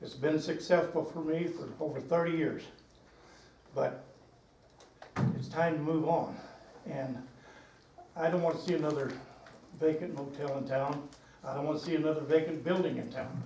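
A man speaks at a moderate pace in a fairly high pitch with fairly even intonation and long, frequent pauses. Audible room echo and noticeable background noise surround him. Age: 80s+. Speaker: motel owner. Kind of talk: public comment at meeting. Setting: public meeting.

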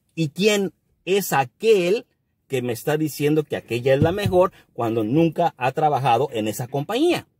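Somewhat breathy male speech, fairly high-pitched with lively intonation, at a fairly slow pace, dry with no echo against a quiet background. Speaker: YouTuber and trucking business owner. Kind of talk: casual advice monologue; casual vlog chat, opinion rant. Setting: at a work site. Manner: halting; blunt. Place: car. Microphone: phone near.

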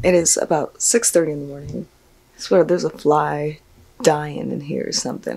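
At a moderate pace, a woman delivers her words. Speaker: travel vlogger. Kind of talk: casual vlog chat. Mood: cheerful, relaxed. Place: home room. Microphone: phone near.

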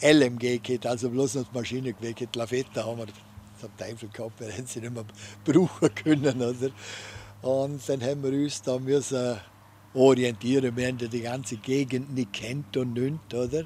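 Amid light background noise, a man with a Vorarlberg accent talks at a moderate pace with fairly even intonation. The sound is dry with no echo, and his loudness swings widely. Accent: Vorarlberg Alemannic dialect. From Vorarlberg, Austria. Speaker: war veteran. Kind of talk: interview answer, wartime recollection. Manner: hesitant, conversational. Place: garden. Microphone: studio mic.

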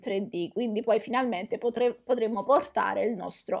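Over a quiet background, a woman speaks at a high pitch. Her pace is moderate. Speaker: gaming YouTuber. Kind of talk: casual vlog chat. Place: home room.

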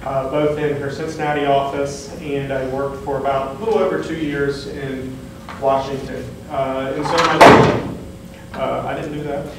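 A man speaks at a moderate pace in an American accent. Strong room echo and noticeable background noise surround him. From southwest Ohio. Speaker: state board of education member, attorney. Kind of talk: public meeting presentation. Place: meeting room. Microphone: camera far.

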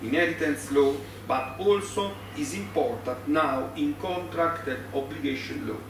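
In an Italian accent, the voice moves at a moderate pace with very wide pitch swings, with audible room echo and noticeable background noise. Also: man. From Italy. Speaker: law professor. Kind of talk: conference lecture. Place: meeting room. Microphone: podium.

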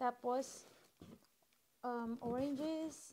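A woman with a high voice speaks at a very slow pace, using ordinary pitch variation. Light background noise can be heard. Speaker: vlogger. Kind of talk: casual vlog chat. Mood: cheerful, excited. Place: kitchen.

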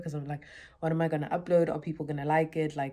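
Against a quiet background, a woman speaks in a very deep, low pitch with monotone, flat intonation. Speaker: vlogger. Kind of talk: casual vlog chat. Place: home room. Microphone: phone near.

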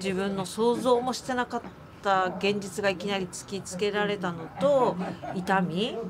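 A woman speaks fairly slowly and with fairly even intonation while clear background noise plays behind her. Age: 40s. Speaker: amputee marathon runner; interviewee. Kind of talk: interview testimony. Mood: earnest, emotional recollection.

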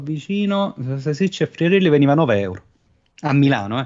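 Against a quiet background, a man with an unremarkable speaking voice uses lively intonation at a fairly high pitch. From southern Italy, Cilento area; Southern Italy. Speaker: podcast guest; streamer. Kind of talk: casual chat. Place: home room. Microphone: studio mic.

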